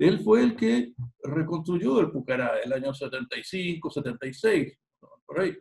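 A man with a Chilean accent, fairly high pitch and lively intonation, at a very slow pace against a quiet background. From Chile, San Bernardo near Santiago. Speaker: history teacher and local historian; history teacher. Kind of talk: interview. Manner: halting, many repetitions. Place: home room. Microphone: video call.

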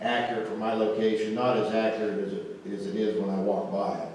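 There is strong room echo and light background noise as a man talks very fast. His fairly low voice stays monotone and flat. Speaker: presenter. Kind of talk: presentation talk. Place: hall. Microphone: camera far.

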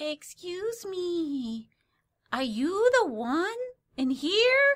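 Using a put-on character voice, a woman squeaks at an extremely high pitch and a very slow pace, with very wide pitch swings.

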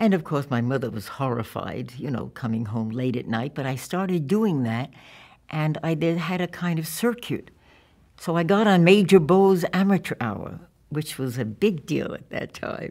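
With a New York accent, a woman speaks at a moderate pace in a very deep, low voice with very wide pitch swings against a quiet background. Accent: New York American. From New York (Yonkers and Brooklyn). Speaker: documentary filmmaker; interviewee. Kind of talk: oral history interview. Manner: halting. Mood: warm, reflective. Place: studio.

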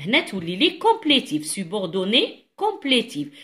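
A woman's fairly high, bright and sharp voice with an Algerian accent, very slow, over a quiet background. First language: Algerian Arabic (speaking French). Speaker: French teacher. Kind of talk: tutorial. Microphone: phone near.

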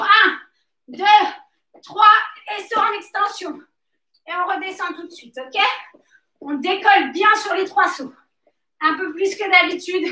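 In a room with audible echo, a woman uses a raised, projected voice with a bright, sharp tone, ordinary pitch variation and a very slow pace. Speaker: fitness coach. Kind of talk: workout coaching instructions. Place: gym. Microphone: camera far.

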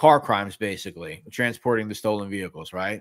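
In a New York accent, a man talks with ordinary pitch variation against a quiet background. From New York City. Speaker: mafia history youtuber. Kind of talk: casual interview. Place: home room. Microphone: webcam.

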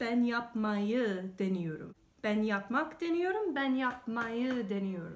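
Faint music plays in the background as a woman with a high pitch talks at a fairly slow pace. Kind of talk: comedic self-talk while studying. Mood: frustrated, comic exasperation. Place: home room. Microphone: phone near.

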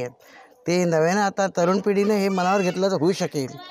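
Noticeable background noise sits behind a man's speaking voice. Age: 60s. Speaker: villager. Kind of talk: complaint to reporter.

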